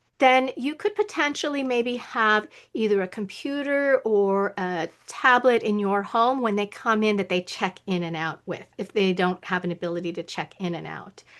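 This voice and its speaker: This woman has a normal speaking voice, pitched fairly high, with lively intonation. She keeps a moderate pace and hardly any pauses. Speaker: webinar presenter on staffing. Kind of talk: online training Q&A.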